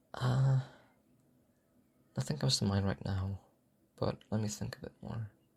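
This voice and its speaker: Somewhat breathy and fairly low in pitch, a man speaks at a moderate pace with lively intonation and long, frequent pauses in a very clean recording with a silent background. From Czech Republic. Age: young. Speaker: audio content creator. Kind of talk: Q&A answering listener questions. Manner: unexpressive; halting.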